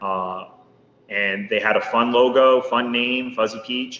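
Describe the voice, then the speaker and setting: Through noticeable background noise, a man with an American accent talks at a medium pitch with ordinary pitch variation. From northeast Pennsylvania (Poconos). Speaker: small business owner. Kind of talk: podcast interview. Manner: casual, conversational with fillers.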